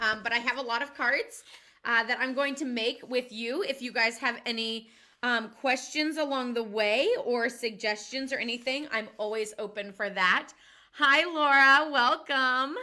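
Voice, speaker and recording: Loud and high-pitched, a woman speaks at a fairly slow pace. Her pitch varies in an ordinary way. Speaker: card-making demonstrator. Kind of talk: live tutorial. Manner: chatty, filler-heavy.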